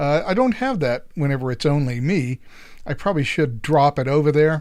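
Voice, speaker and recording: On a very clean recording with a silent background, a man with an unremarkable speaking voice and a fairly high pitch talks at a moderate pace with ordinary pitch variation. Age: 60s. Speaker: political podcast host. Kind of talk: casual solo podcast talk. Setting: live stream.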